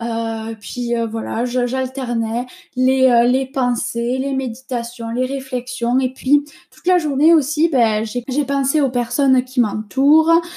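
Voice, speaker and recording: Very slowly, a woman speaks in a high voice. Her intonation stays fairly even. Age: 20s. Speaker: podcast host. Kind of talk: casual monologue. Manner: hesitant, many fillers.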